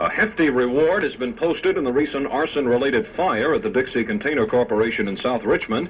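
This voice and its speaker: Over noticeable background noise, a man races along at a very fast pace with lively intonation. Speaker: radio newscaster. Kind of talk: radio news reading. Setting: vintage AM radio broadcast.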